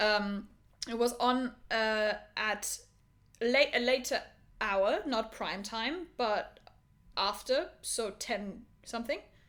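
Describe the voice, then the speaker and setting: Speaking in a German accent, a woman uses a fairly high pitch and ordinary pitch variation. Her pace is very slow, broken by long, frequent pauses. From Germany. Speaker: podcast co-host. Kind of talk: casual chat.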